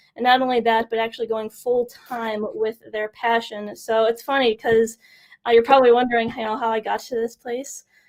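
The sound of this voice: A woman speaks at a fairly high pitch and a moderate pace, with little pitch movement.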